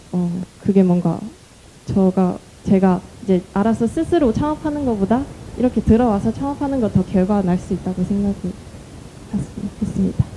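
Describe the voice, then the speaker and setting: A woman with a non-native accent talks at a medium pitch with lively intonation over noticeable background noise. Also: moderate pace. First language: not Korean (speaking Korean). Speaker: startup founder. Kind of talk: panel discussion. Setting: stage with audience.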